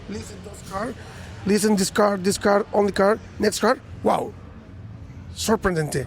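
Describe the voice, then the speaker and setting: A man's high voice, fairly slow with long, frequent pauses, fairly even intonation and big swings in loudness. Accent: Spanish. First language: Spanish. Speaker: car audio competitor. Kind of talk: interview. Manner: halting.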